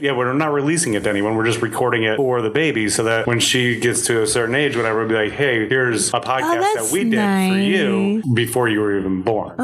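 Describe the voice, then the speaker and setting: A man races along at a very fast pace with hardly any pauses, his medium-pitched voice at very even loudness. His intonation is lively over noticeable background noise. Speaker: comedian, podcast guest.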